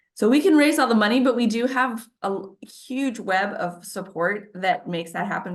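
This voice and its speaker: With an American accent, a woman talks at a moderate pace with lively intonation. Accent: Midwestern, comes out at times. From US Midwest (Wisconsin/Minnesota). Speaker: food bank representative. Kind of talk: community meeting presentation.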